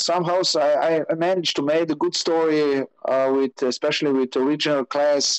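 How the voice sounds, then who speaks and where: In a Slovenian accent, a man talks at a fairly quick pace with a fairly high pitch, monotone, flat intonation, very even loudness and a dry, close sound with no echo. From Slovenia, Maribor. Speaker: rally motorbike racer. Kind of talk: interview. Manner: halting.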